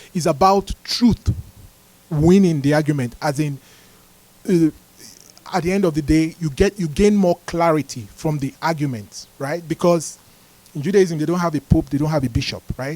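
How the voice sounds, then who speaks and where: Amid noticeable background noise, a fairly high-pitched man speaks at a moderate pace with ordinary pitch variation and long, frequent pauses. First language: not English. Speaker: Bible fellowship teacher. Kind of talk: Bible teaching talk. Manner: halting, many restarts.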